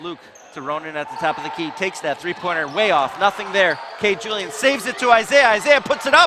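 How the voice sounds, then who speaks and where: Noticeable background noise surrounds a man speaking very fast in a raised, projected voice. His pitch is high and swings very widely. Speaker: basketball play-by-play commentator. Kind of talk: live commentary. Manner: loud, yelling at times. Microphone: audio crackling when yelling.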